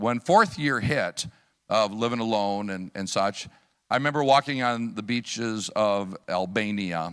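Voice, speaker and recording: Recorded very cleanly with a silent background, a man with a US Midwestern accent speaks in a fairly low pitch with ordinary pitch variation. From US Midwest, Chicago area / Wisconsin. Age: 60s. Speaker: missionary preacher. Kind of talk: sermon with personal testimony. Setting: church service. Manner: conversational, with many fillers.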